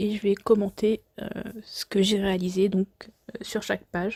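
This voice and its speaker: A woman's somewhat breathy voice, dark and mellow in tone and medium in pitch, stays monotone and flat in a dry, close sound with no echo. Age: 20s. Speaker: scrapbooking crafter. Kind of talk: voice-over craft tutorial presentation. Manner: hesitant.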